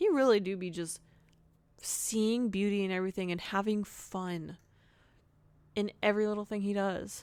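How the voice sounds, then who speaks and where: Her intonation fairly even, a woman talks with a slight Southern US accent. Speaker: podcast host. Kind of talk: casual monologue. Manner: casual, filler-heavy.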